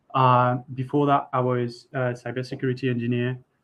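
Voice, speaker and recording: With a French accent, a man is talking. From France. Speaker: software architect. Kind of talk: tech workshop presentation. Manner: halting, many fillers and repeats.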